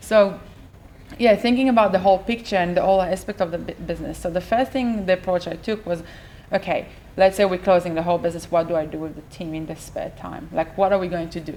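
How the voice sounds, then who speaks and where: A woman talks at a very fast pace in a dark, mellow tone. Her medium pitch shows ordinary variation, and her loudness swings widely. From Israel. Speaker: business owner. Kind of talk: interview. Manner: hesitant, with fillers.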